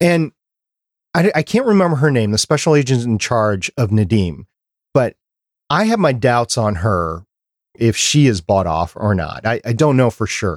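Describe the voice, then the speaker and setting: On a very clean recording with a silent background and a dry, close sound with no echo, a man with an American accent speaks at medium pitch and a moderate pace, with very wide pitch swings and long, frequent pauses. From Minnesota. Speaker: podcast producer and co-host. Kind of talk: casual chat. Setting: studio, livestreamed.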